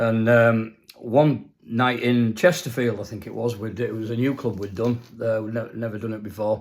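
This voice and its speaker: In a very clean recording with a silent background, a man with a Yorkshire accent speaks at a moderate pace in a medium pitch, with fairly even intonation and hardly any pauses. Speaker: former band musician telling stories. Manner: relaxed, anecdotal storytelling.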